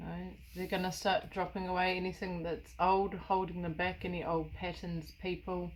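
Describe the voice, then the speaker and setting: A woman's fairly low voice with vocal fry, at a moderate pace. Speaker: tarot reader. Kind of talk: tarot reading monologue.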